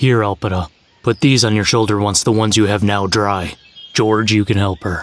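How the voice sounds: A man performs a cartoonish character voice. His pace is moderate. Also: fairly low pitch for a man.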